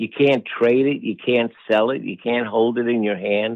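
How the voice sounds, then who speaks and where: Speaking in a plain, everyday voice, a man talks at medium pitch and a moderate pace with ordinary pitch variation. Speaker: meditation teacher; wellness professor. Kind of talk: podcast interview answer.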